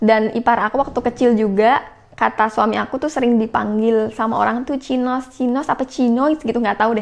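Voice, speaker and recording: A woman with a fairly high voice talks at a fairly quick pace with fairly even intonation. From Central Java, Indonesia (Pati). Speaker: vlogger. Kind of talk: casual Q&A vlog.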